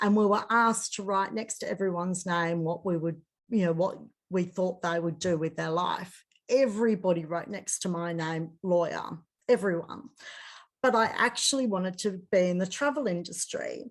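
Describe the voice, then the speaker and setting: In an Australian accent, a woman with a medium pitch speaks at a moderate pace. Her pitch varies in an ordinary way against a quiet background. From Australia, Sydney. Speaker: coach and hypnotherapist. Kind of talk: interview.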